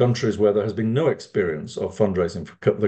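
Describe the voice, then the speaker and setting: A man with a British accent, a dark, mellow tone and a somewhat breathy voice, over a quiet background. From United Kingdom. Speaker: fundraising consultant. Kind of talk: lecture.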